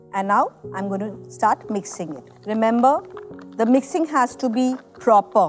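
A woman talks fairly slowly. Behind her, faint music can be heard. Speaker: hair color educator. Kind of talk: tutorial. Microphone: lapel.

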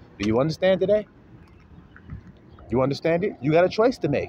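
A man talks very fast with vocal fry and very wide pitch swings, in a dry sound with no echo and light background noise. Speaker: religious teacher. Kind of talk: sermon. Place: street. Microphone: phone near.

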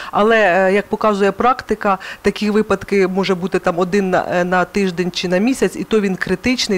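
Her words come out rather quickly. The woman keeps a fairly flat, even melody. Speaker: psychologist. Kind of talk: interview. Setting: studio. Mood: calm, earnest. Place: studio. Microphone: headset.

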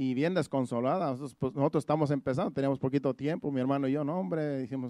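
With a dark, mellow tone, a man talks at a very fast pace with ordinary pitch variation, in a dry, close sound with no echo. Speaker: pastor. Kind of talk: sermon. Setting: church.

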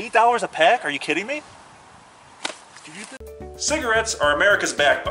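Over music in the background, a man speaks in a raised, projected voice at a high pitch and a fairly quick pace. His pitch swings very widely, and he takes long, frequent pauses. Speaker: comic infomercial host. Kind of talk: comedy parody infomercial.

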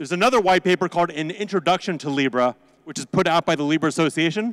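Very fast speech comes from a man with a high-pitched voice. His pitch variation is ordinary, and the background is quiet. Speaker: conference presenter, crypto lawyer. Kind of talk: conference presentation. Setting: stage with audience. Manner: animated. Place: hall. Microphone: handheld.

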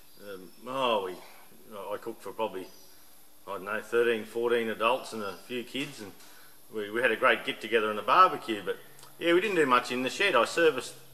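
A man at a fairly quick pace with big swings in loudness. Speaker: hobby mechanic vlogger. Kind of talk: casual vlog chat. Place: workshop. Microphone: camera far.

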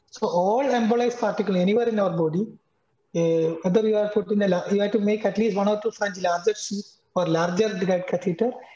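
In an Indian accent, a man talks at a fairly quick pace with fairly even intonation. The background is quiet, though audible room echo surrounds him. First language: Malayalam. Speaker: cardiologist; panelist. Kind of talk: lecture. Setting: video call. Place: home room. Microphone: video call.

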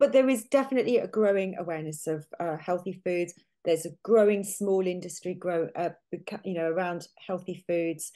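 A woman with a British accent, fairly low in pitch, dark and mellow in tone, with ordinary pitch variation and a moderate pace against a quiet background. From UK. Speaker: nutritional therapist; guest. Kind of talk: interview. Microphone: video call.

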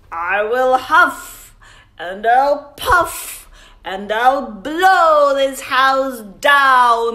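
A put-on character voice from a woman, high-pitched, gruff and growling, menacing in tone and very slow.

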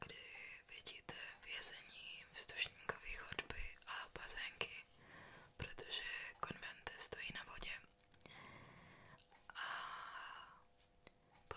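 A woman whispers at a very slow pace. Her speech has long, frequent pauses. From Czech Republic. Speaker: tour guide. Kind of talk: ASMR. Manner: whispered. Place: home room. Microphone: studio mic.

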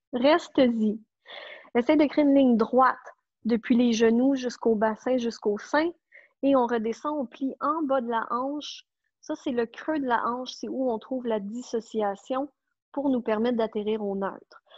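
Delivered at a fairly slow pace in a Quebec accent, the voice keeps a fairly even intonation. The sound is dry with no echo over a quiet background. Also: woman, high pitch for a woman. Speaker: pilates instructor. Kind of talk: online fitness class instruction. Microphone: earbuds.

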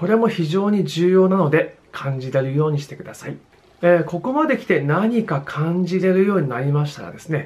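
The man speaks at a high pitch with lively intonation. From Japan. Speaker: drummer and music educator YouTuber; music teacher. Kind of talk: video tutorial. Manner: frequent filler hesitations. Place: home room. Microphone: phone near.

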